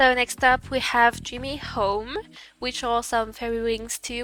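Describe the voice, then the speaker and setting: Bright and sharp in tone, the voice goes at a fairly slow pace with fairly even intonation. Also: woman. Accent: non-native. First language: not English. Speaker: gaming content creator. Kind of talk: game guide tutorial. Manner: hesitant, many fillers.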